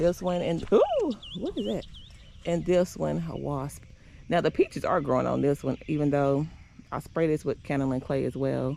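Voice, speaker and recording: A woman's moderate-paced speech comes through noticeable background noise. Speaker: home gardener vlogger. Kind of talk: casual garden tour vlog. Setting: outdoors in garden. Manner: chatty with fillers.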